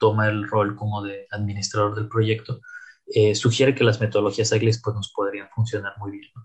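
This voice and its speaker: A man speaks with a fairly low pitch and a somewhat breathy voice. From Mexico, Tampico, Tamaulipas. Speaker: AI scientist and consultant. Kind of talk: interview. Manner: halting, with many fillers and repetitions.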